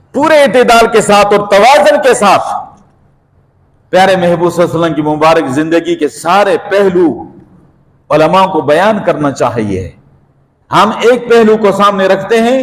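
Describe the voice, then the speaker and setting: With very even loudness, a man talks at a high pitch using lively intonation. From Pakistan. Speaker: Islamic preacher. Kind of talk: religious sermon.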